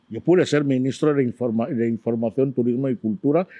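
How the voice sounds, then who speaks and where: His tone dark and mellow, a man with a medium pitch talks at a fairly quick pace, recorded dry and close with no echo. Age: 70s. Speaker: exiled writer and interviewee. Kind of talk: interview.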